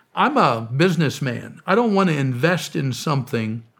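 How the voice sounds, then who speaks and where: A man with an American accent speaks fairly slowly in a normal speaking voice. His intonation is lively. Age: 60s. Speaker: preacher and humanitarian founder. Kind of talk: interview testimony. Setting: studio.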